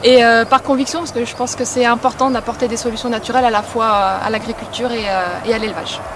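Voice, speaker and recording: Over noticeable background noise, a woman with a fairly high pitch speaks at a very fast pace with hardly any pauses and fairly even intonation. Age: 30s. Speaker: regional sales manager. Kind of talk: workplace testimony interview.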